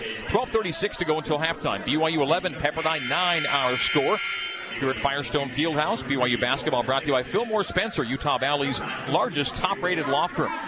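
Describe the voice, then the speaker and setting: A man with a fairly high pitch sounds excited and animated, with ordinary pitch variation and very even loudness. Noticeable background noise runs underneath. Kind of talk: live sports play-by-play commentary. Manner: fast, rapid-fire play-by-play calling; excited, animated on big plays.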